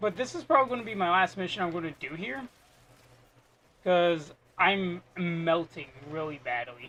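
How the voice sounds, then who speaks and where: The pace here is moderate. Long pauses come often. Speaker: video game streamer. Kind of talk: gameplay live stream commentary. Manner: quiet.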